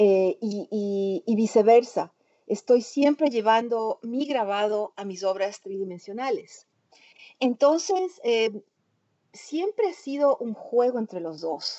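A woman's fairly high voice with lively intonation at a very slow pace. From Ecuador. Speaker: printmaker and multidisciplinary artist. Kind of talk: interview conversation. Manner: halting, many fillers and repetitions.

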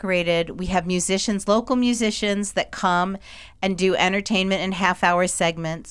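An unforced reading voice speaks with fairly even intonation.

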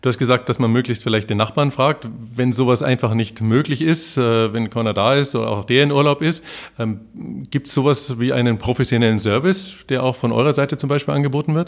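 A man talks at a fairly quick pace in a plain, everyday voice of medium pitch. Pitch variation is ordinary, and the recording is very clean with a silent background. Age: 50s. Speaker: podcast host. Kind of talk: interview.

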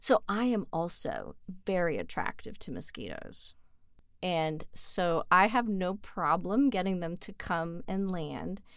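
Lively intonation marks a woman's unremarkable speaking voice as she talks at a fairly slow pace, in a very clean recording with a silent background. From Canada. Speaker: virologist. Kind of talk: casual interview.

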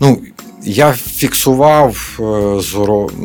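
Over noticeable background noise, a man speaks in a fairly low pitch with ordinary pitch variation. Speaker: artist and soldier. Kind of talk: radio interview. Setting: studio. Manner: hesitant, many filler sounds.

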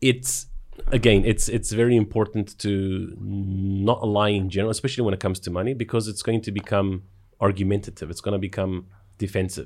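A fairly quick, fairly low male voice with a South African accent, fairly even intonation, and a very clean recording over a silent background. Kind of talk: casual conversation.

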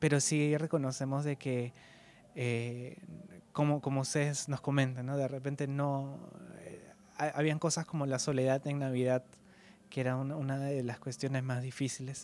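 A man with a fairly high voice speaks at a moderate pace. His intonation is flat and monotone, broken by long, frequent pauses. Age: 20s. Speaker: podcast host. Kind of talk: interview. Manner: halting, repeats words.

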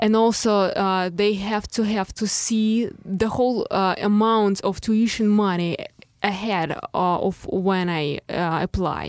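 Speaking very slowly with a Russian accent, a woman keeps her intonation fairly even and her loudness very even. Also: medium pitch for a woman. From Russia, Moscow suburbs. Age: 20s. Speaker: artist. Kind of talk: interview. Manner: halting.

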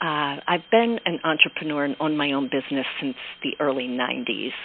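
A woman with an American accent speaks at a moderate pace, her pitch swinging very widely. Noticeable background noise sits behind her. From Pennsylvania, Pocono Mountains area. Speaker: education entrepreneur. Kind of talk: interview.

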